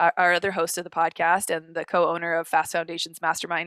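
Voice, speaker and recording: Recorded very cleanly against a silent background with a dry, close sound and no echo, a woman speaks with a fairly low pitch and a bright, sharp tone. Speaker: podcast co-host. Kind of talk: casual chat. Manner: fast; animated.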